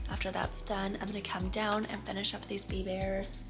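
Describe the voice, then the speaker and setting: A woman speaks with music in the background. Audible room echo surrounds her voice. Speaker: crochet vlogger. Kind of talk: casual vlog.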